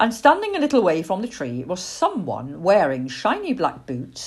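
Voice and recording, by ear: The passage is read aloud in a natural voice.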